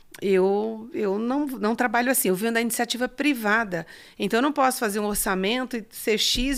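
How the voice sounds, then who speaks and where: On a very clean recording with a silent background, a woman with a fairly high voice speaks at a moderate pace with lively intonation. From Ceará, Brazilian Northeast. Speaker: farmer and businesswoman. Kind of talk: interview.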